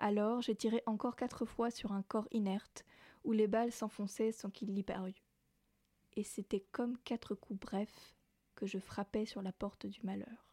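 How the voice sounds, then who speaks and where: The voice is dark and mellow, somewhat breathy, with monotone, flat intonation at a fairly slow pace. The recording is very clean with a silent background, and the sound is dry and close with no echo. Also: woman, fairly high pitch for a woman. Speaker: radio host. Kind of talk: literary reading of a novel excerpt, then back to radio talk. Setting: radio studio.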